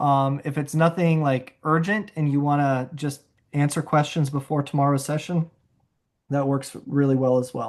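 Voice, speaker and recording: A normal speaking voice moves at a moderate pace with fairly even intonation over a quiet background. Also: man, fairly high pitch for a man. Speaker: software trainer. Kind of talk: tutorial. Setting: video call.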